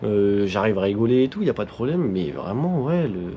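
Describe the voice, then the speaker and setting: This man's voice has a dark, mellow tone and very wide pitch swings. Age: 20s. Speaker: motorcycle vlogger. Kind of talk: casual vlog monologue. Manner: fast; halting speech.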